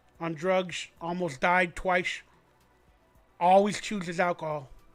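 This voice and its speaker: A man speaks with a high pitch at a fairly slow pace, in a monotone with flat intonation. Music plays in the background. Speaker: sports fan livestream host. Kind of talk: casual live stream monologue. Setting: live stream. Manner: slurring, sounds drunk.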